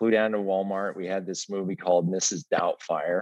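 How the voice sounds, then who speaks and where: An American accent at a moderate pace, fairly even intonation, dry and close sound with no echo. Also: man. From Colorado. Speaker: retired film studio executive. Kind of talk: interview. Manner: halting.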